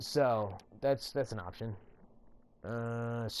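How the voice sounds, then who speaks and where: Mumbling, a man speaks at a medium pitch with a dark, mellow tone and ordinary pitch variation. The recording is very clean, with a silent background. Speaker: gaming tutorial creator. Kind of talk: casual gaming tutorial narration. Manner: mumbling, rambling.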